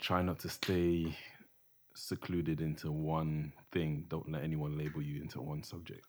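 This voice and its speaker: Very deep, low pitch from a man, in monotone, flat intonation. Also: moderate pace. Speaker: podcast guest, photographer. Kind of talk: casual slang.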